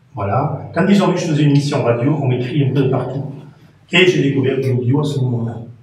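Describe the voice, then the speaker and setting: A man with a fairly high pitch at a very fast pace, amid noticeable background noise and audible room echo. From France. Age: 60s. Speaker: radio presenter and former teacher. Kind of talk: interview. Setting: TV studio.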